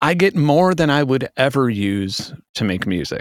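A normal speaking voice with an American accent and lively intonation. It moves at a fairly slow pace in a very clean recording with a silent background. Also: man. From South Chicago, US. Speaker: musician and YouTuber. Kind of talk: casual chat.

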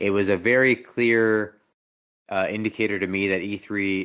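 Over a silent background in a very clean recording, a man speaks with an ordinary speaking voice, fairly low pitch and fairly even intonation. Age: 20s. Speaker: gaming podcast host. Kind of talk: casual chat. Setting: live stream.

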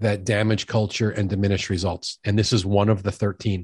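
A man with a fairly low voice talks at a fairly quick pace, and the recording is very clean, dry and close, with a silent background and no echo. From New York. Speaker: sales expert and author. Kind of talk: casual interview conversation.

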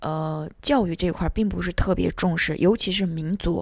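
This is a woman with a normal speaking voice, medium in pitch and ordinary in its variation. She talks at a moderate pace on a very clean recording with a silent background. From Turpan, Xinjiang, China. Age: 30s. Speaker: entrepreneur. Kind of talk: interview conversation.

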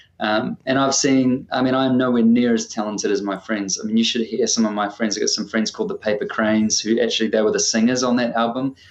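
Speaking with a New Zealand accent, a man talks at a fairly quick pace. His pitch sits at a medium level with ordinary variation. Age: 30s. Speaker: singer-songwriter. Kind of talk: casual interview chat.

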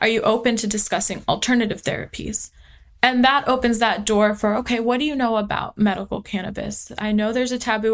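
A plain, everyday voice from a woman, fairly high in pitch, at a fairly quick pace with fairly even intonation. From US West Coast, small-town California (Tulare). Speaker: army veteran, former combat medic and nurse. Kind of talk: interview conversation.

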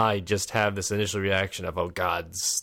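Very deep, low-pitched man at a fairly quick pace, on a very clean recording with a silent background. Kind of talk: casual chat. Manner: conversational, hesitant.

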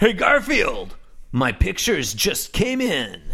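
A man puts on a high-pitched character voice and speaks at a fairly slow pace. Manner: excited, hyped.

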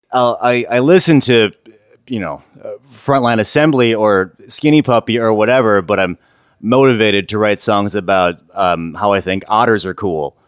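A man with an Upper Midwest accent speaks at a fairly low pitch. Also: ordinary pitch variation, moderate pace. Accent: Upper Midwest American. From Wisconsin, Milwaukee. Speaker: musician. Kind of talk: casual chat. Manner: halting, many fillers.

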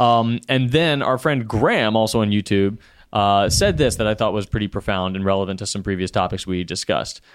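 With a normal speaking voice, a man talks at a fairly quick pace, his pitch fairly low and its variation ordinary. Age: 30s. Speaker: podcast co-host. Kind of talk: casual chat.

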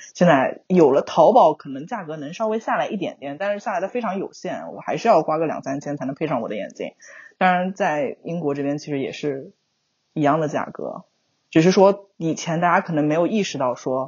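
An ordinary speaking voice with lively intonation, a fairly quick pace and big swings in loudness. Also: woman, fairly low pitch for a woman. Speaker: overseas graduate working professional. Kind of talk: casual chat.

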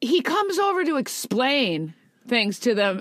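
Someone is reading aloud in a natural voice.

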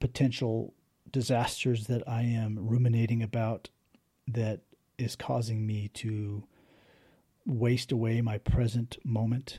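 A man talks at a fairly slow pace in a medium pitch, with monotone, flat intonation. His tone is dark and mellow and somewhat breathy. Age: 40s. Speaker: podcast host and poet. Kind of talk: solo personal reflection monologue. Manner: halting, many fillers and restarts.

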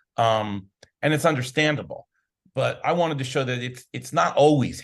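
A man talks at a fairly quick pace and a medium pitch, somewhat breathy, with lively intonation. The background is quiet. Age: 50s. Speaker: documentary filmmaker. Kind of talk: interview. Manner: upbeat.

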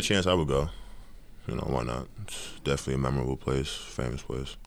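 Vocal fry in a man's very deep, low voice, moving at a fairly quick pace. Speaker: college basketball player. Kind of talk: casual interview.

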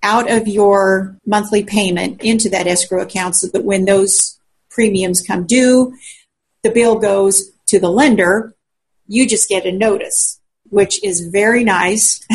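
A woman with an American accent talks at a fairly slow pace. Her voice is medium in pitch and somewhat breathy, with fairly even intonation. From Colorado. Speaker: realtor. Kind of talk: interview answers.

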